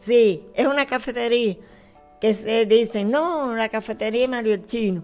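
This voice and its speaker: Over music in the background, a woman with a Cuban accent speaks fairly slowly at a fairly high pitch. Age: 80s+. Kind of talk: interview answer, reminiscing.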